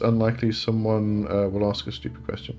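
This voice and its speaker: A man's voice sits at a medium pitch, with music playing behind it. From England. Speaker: occult livestream host. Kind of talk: casual live chat Q&A. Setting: live stream.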